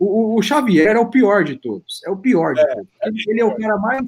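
A man speaks at a high pitch. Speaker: podcast co-host. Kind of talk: casual chat.

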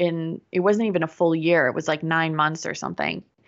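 Her pitch is fairly low for a woman, and her intonation is fairly even. She has a normal speaking voice. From Pittsburgh, US. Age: 30s. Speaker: business coach. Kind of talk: interview.

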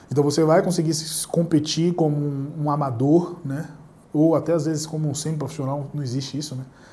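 Audible room echo surrounds a voice that moves at a fairly quick pace with monotone, flat intonation. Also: man, fairly high pitch for a man. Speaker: jiu-jitsu instructor and YouTuber. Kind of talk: solo Q&A monologue. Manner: casual, conversational.

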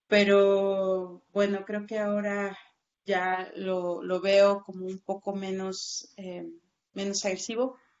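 Very slow, monotone speech with flat intonation and big swings in loudness. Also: woman, medium pitch for a woman. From Oaxaca, southern Mexico. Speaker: journalist. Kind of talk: interview.

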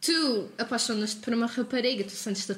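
An unremarkable speaking voice from a woman, with ordinary pitch variation at a moderate pace. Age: 20s. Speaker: university student. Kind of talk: casual discussion.

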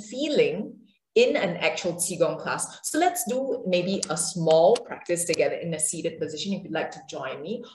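With lively intonation and big swings in loudness, a woman at medium pitch is heard through audible room echo. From Singapore. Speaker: yoga and qigong teacher. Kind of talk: interview; guided movement practice. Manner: hesitant, many fillers.

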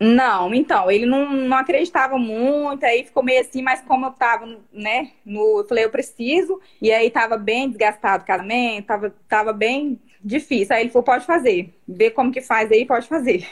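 A woman speaks at a high pitch and moderate pace with ordinary pitch variation. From Brazil, Rondônia (Vilhena). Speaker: mother sharing her baby sleep story. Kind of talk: testimony. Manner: halting.

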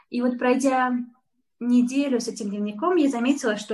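A woman's high voice, at a moderate pace, with ordinary pitch variation. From Uzbekistan, Tashkent. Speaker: florist and business owner. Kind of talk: interview.

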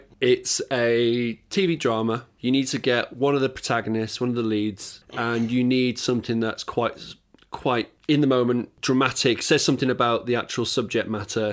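In an ordinary speaking voice, a man of medium pitch talks at a moderate pace with fairly even intonation and hardly any pauses. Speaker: podcast host. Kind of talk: casual interview chat. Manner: casual, chatty.

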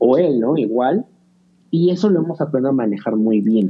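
At a moderate pace, a man with a normal speaking voice talks with lively intonation. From Mexico. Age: 30s. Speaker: podcaster. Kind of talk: casual chat.

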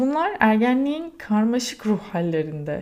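A woman's dark, mellow tone at a fairly slow pace. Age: 30s. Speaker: podcaster. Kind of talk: personal monologue.

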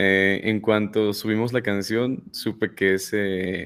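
This man has a fairly low voice. His intonation stays monotone and flat. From State of Mexico. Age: 20s. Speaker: music producer and rapper. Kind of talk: casual interview.

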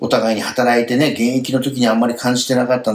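There is noticeable background noise behind this man's medium-pitched voice. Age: 50s. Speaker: end-of-life planning consultant and radio host. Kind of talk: radio talk show chat.

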